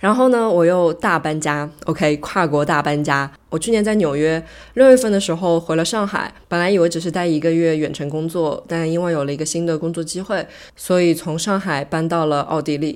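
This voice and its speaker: This woman has a normal speaking voice, fairly low in pitch, moving at a moderate pace with ordinary pitch variation. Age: 30s. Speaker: podcast host. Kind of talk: solo monologue podcast. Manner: casual, code-switching with English.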